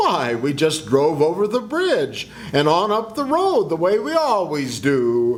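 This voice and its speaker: A man puts on a character voice, pitched high and delivered at a fairly slow pace. Background noise is clearly audible. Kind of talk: 1940s radio acting. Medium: stage play.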